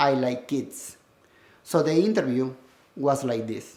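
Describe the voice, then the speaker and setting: A man with a Peruvian accent speaks amid audible room echo. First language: Spanish. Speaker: school administrator and educator. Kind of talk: personal testimony.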